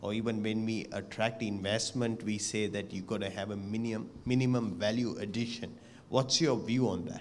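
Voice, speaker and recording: A man talks at moderate speed and with fairly even intonation, his voice carrying audible room echo. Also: medium pitch for a man. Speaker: moderator. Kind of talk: Q&A discussion.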